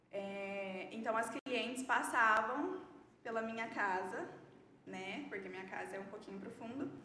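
Amid noticeable background noise and audible room echo, a woman speaks at a fairly slow pace with a fairly high pitch and ordinary pitch variation. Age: 20s. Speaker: beauty entrepreneur. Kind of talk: interview, personal testimony.

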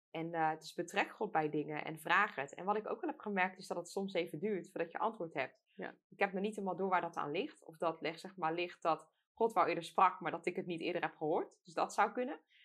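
With a plain, everyday voice, a woman talks at a fairly quick pace with hardly any pauses. Her fairly low pitch has ordinary variation, and her loudness swings widely. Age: 20s. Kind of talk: casual chat about faith. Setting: studio.

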